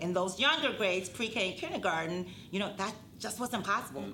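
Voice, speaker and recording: Speaking at a fairly quick pace, a woman with a medium-pitched voice is heard against noticeable background noise and audible room echo. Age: 50s. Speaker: school director of student success, show host. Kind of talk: scripted live-stream presentation. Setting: live stream.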